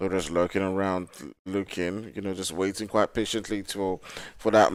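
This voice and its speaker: With a strong Nigerian accent, a man talks at a moderate pace in a monotone, flat intonation. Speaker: esports caster. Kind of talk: live commentary; casual chat.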